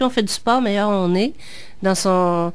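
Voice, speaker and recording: A woman with a Quebec accent speaks at a medium pitch with ordinary pitch variation. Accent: Québécois French. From Quebec, born in Picardy, France, moved at age seven. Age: 40s. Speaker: author. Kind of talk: interview. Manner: hesitant, many fillers.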